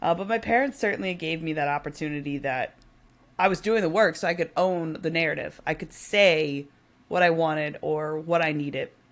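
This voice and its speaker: At a fairly quick pace, a woman speaks at a fairly low pitch with ordinary pitch variation, on a very clean recording with a silent background. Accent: American. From US Midwest, Naperville Illinois. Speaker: mentorship program founder, coach. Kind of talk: podcast interview.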